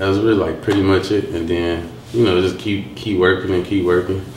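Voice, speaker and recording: A man's very deep, low voice in an American accent with ordinary pitch variation, plus audible room echo and noticeable background noise. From Detroit, west side. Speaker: rapper. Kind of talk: interview. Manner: halting, with fillers.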